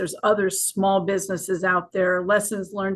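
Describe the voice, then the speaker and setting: Somewhat breathy, a woman at medium pitch speaks at a moderate pace. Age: 60s. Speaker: retired army officer, memorial president. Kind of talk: podcast interview. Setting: live streamed video podcast.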